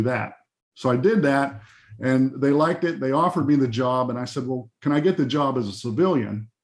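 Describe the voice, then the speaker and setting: Speaking at a fairly quick pace, a man with an American accent has an unremarkable speaking voice at medium pitch with ordinary pitch variation. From Pennsylvania, Johnstown area. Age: 60s. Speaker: music arranger. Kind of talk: interview storytelling. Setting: video call. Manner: casual, with many fillers.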